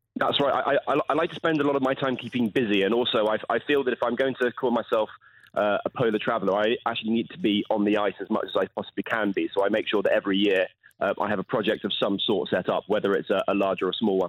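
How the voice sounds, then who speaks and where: A man talks at a very fast pace with a southern English accent. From southern England, Portsmouth. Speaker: polar explorer. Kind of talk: radio interview. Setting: phone call. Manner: halting.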